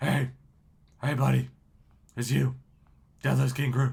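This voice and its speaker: A man puts on a raspy character voice. He speaks at a moderate pace. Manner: silly, playful.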